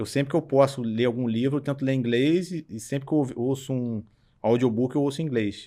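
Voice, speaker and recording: In a very clean recording against a silent background, the voice carries a dark, mellow tone. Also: man. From Brazil, Petrópolis (Rio de Janeiro state). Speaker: startup CEO. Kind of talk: interview. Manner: casual, colloquial.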